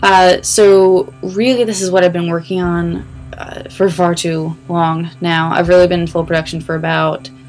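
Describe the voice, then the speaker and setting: Music plays in the background as a woman speaks at a moderate pace. Her pitch is fairly low. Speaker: animation producer. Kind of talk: casual screen-recording tutorial vlog.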